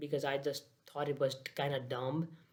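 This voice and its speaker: A man speaks with a Nepali accent at a fairly high pitch. His intonation stays monotone and flat. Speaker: daily vlogger. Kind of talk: casual vlog monologue. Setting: at home, laptop on lap. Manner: halting, many fillers.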